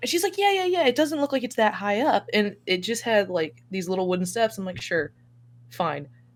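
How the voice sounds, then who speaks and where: A loud woman's fairly high voice, fairly quick and full of very wide pitch swings. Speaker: podcast guest. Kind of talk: casual chat. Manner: animated.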